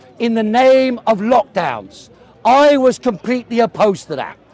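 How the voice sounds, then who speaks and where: A man with a London accent speaks at a fairly slow pace and an extremely high pitch. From South London, England. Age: 60s. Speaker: communist debater. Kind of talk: heated debate.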